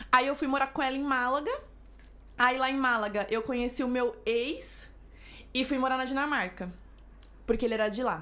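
Someone speaks in a raised, projected voice with a bright, sharp tone and ordinary pitch variation, at a moderate pace broken by long, frequent pauses. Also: woman, high pitch for a woman. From São Paulo. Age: 20s. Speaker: influencer and flight attendant. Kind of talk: casual chat.

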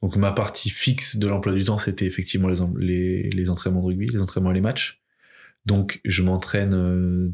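A man's very deep, low voice at a moderate pace, on a very clean recording with a silent background. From France, Limoges. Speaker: rugby player and entrepreneur, podcast founder. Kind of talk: casual interview as guest.

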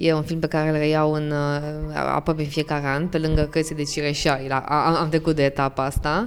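With fairly even intonation, a woman talks at a moderate speed in a very deep, low pitch. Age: 20s. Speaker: podcast host, lawyer. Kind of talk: podcast interview.

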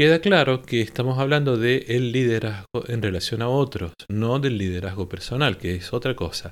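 Speaking at a moderate pace with hardly any pauses, a man has an unremarkable speaking voice, a medium pitch, and lively intonation. The recording is very clean, with a silent background. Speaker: choral conductor and podcast host. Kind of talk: podcast monologue on choral directing.

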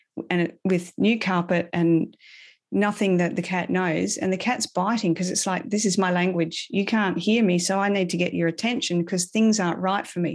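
With an Australian accent, a woman at a medium pitch talks at a moderate pace with fairly even intonation. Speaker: animal communicator and holistic animal health coach. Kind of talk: casual interview. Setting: remote call from abroad.

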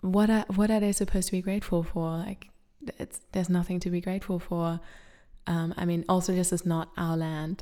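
Speaking with a dark, mellow tone, a woman keeps a fairly low pitch and fairly even intonation. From Germany. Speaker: content creator. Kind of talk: casual chat.

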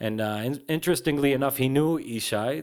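A man with an American accent, a normal speaking voice, moderate pace and ordinary pitch variation, on a very clean recording with a silent background. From Israel, then New Jersey and Brooklyn. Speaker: punk musician. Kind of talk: interview. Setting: recording studio.

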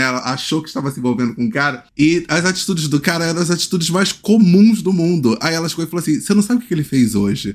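The man's intonation is lively as he talks at a very fast pace. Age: 30s. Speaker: podcast host. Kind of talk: casual chat.

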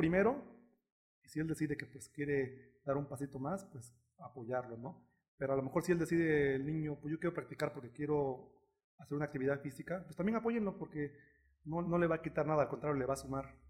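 This man's voice sits fairly high and is somewhat breathy. He talks at a fairly quick pace with ordinary pitch variation. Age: 30s. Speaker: taekwondo coach. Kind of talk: interview.

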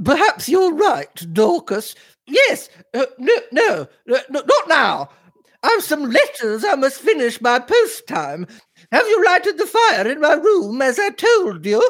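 In a put-on character voice, a man hits an extremely high pitch with very wide pitch swings and a fairly bright tone. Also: fairly slow pace.

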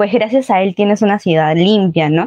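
A woman in a normal speaking voice talks at medium pitch and a moderate pace with fairly even intonation, the sound dry and close with no echo. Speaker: youth group coordinator. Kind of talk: casual chat.

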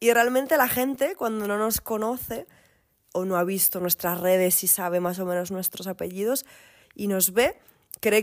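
At a moderate pace, a woman with an ordinary speaking voice and medium pitch shows ordinary pitch variation. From Asturias, Spain. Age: 30s. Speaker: singer-songwriter and recruiter. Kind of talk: casual interview.

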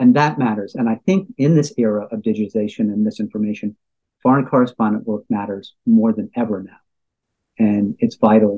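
Talking at a fairly quick pace, a man has a dark, mellow tone and ordinary pitch variation. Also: medium pitch for a man, dry, close sound with no echo. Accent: American. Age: 60s. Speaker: journalism lecturer and former foreign correspondent. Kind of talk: interview discussion.

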